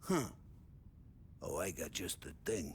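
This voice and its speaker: In a loud, raspy, put-on character voice, a man performs over clear background noise. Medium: video game. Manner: loud, jovial.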